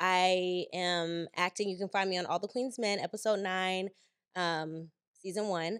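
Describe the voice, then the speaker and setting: In a dry, close recording with no echo, a woman speaks at a fairly slow pace with medium pitch and an animated tone. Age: 30s. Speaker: actress and influencer. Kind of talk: casual chat.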